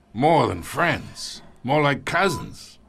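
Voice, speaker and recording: In a raspy, put-on character voice, a man speaks at a fairly high pitch for a man. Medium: video game. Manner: gruff, condescending.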